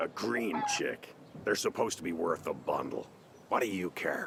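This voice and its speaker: In a raspy, put-on character voice delivered at a moderate pace, the speaker is heard over clear background noise. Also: man. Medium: machinima. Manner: rough, menacing.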